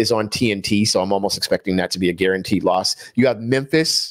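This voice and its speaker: A man talks in an animated tone at a moderate pace with ordinary pitch variation, on a very clean recording with a silent background and a dry, close sound with no echo. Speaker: basketball commentator podcaster. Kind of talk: casual sports commentary monologue.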